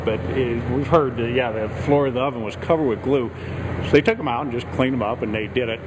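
Fairly quick speech from a man over noticeable background noise. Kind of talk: interview answer. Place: hall. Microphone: handheld.

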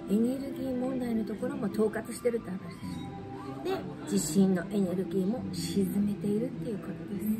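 A soft-spoken woman at a fairly quick pace, with music in the background. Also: medium pitch for a woman, ordinary pitch variation. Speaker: shrine guide. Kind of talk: casual explanatory talk. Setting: cafe with background music. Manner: quiet, soft-spoken. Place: cafe.

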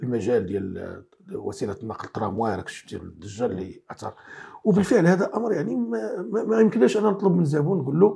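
The pitch swings very widely at a fairly quick pace against a quiet background. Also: man, high pitch for a man. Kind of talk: interview answer. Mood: critical, earnest. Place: studio. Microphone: lapel.

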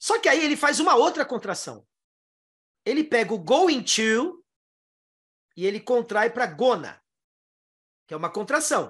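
Against a quiet background, a man with an extremely high pitch and very wide pitch swings speaks at a fairly slow pace with long, frequent pauses. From Brazil. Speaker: English teacher. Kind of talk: online lesson. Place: home room. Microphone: headset.

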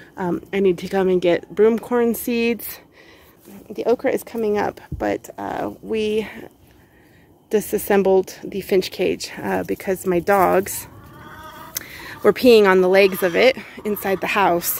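Long, frequent pauses mark a woman's fairly slow, fairly even delivery, with a dry sound and no echo. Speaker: home gardener vlogger. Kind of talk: casual vlog chat. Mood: relaxed, a bit weary. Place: garden. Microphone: phone near.

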